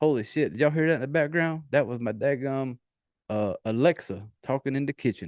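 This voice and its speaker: With a Southern US accent, a man talks at a fairly quick pace in a dry, close sound with no echo. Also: medium pitch for a man, ordinary pitch variation, quiet background. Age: 40s. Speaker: horror movie podcast host. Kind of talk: casual podcast monologue. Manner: loud.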